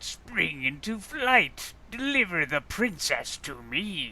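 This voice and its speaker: Using a put-on character voice, a man speaks very slowly at a high pitch, with very wide pitch swings. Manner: commanding, menacing.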